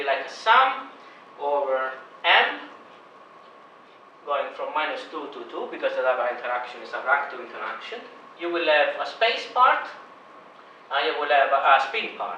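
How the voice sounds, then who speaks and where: Amid noticeable background noise and audible room echo, a man speaks at a moderate pace with long, frequent pauses and big swings in loudness. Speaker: university lecturer. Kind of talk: lecture.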